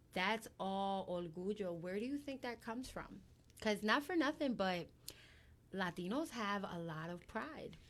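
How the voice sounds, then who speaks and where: At a fairly slow pace, a woman talks at a medium pitch. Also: lively intonation. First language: Spanish. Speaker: guest host. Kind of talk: casual chat.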